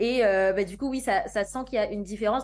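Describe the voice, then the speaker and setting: Ordinary pitch variation in a woman's medium-pitched speech. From Guadeloupe. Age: 20s. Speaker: singer. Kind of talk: interview. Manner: hesitant, many fillers.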